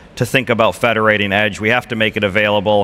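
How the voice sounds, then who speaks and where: Over noticeable background noise, a man with an American accent speaks at a fairly low pitch. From United States. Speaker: telecom executive. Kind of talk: panel discussion.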